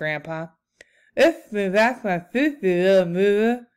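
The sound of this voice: A put-on character voice that sounds female mumbles at a middle pitch and a fairly slow pace. The recording is very clean, with a silent background.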